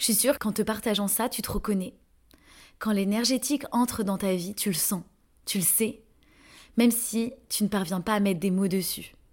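A woman speaks in a fairly high, somewhat breathy voice with long, frequent pauses on a very clean recording with a silent background. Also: ordinary pitch variation, moderate pace. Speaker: podcast host and energy therapist coach. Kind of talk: personal testimony.

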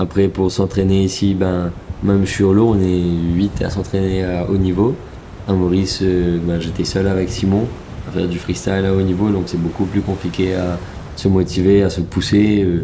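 Noticeable background noise runs throughout. The intonation is monotone and flat. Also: man. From Mauritius. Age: 20s. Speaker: professional kitesurfer and student. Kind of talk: personal testimony.

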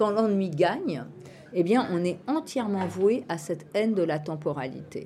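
A woman talks fairly slowly at a medium pitch, her intonation lively. Her tone is dark and mellow, and somewhat breathy. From France, Île-de-France (Meaux). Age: 60s. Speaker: psychoanalyst and philosophy lecturer. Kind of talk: interview conversation. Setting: outdoor urban farm venue at a festival. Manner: halting, many fillers and repetitions.

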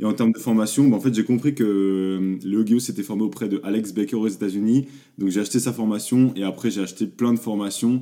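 Delivered at a fairly quick pace, the dark, mellow voice shows ordinary pitch variation. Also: man. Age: 20s. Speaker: e-commerce agency founder. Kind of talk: interview.

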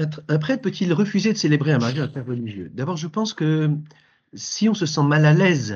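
Somewhat breathy, a man speaks in a fairly high pitch at a moderate pace. His pitch swings very widely. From France, Paris. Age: 60s. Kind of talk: interview. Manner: halting, repeats words.

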